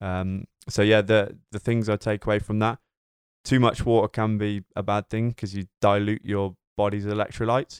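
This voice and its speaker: A man speaks with a British accent at a moderate pace, fairly low and in a flat, monotone intonation. The recording is very clean, with a silent background and a dry, close sound with no echo. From Britain. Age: 20s. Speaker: personal trainer. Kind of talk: casual chat.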